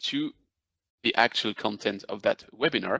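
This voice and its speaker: In a French accent, a man speaks at a moderate pace, the sound dry and close with no echo. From France. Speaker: business development manager presenting a webinar. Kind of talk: webinar presentation. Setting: video call webinar. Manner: hesitant with many fillers.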